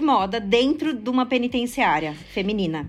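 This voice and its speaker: This woman has a high pitch and lively intonation. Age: 30s. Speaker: fashion social project founder. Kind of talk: interview.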